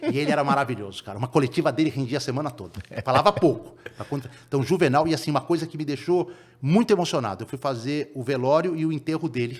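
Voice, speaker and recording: Pitch moves in an ordinary way. The words come very fast. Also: man, fairly high pitch for a man. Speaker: sports reporter. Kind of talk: podcast interview.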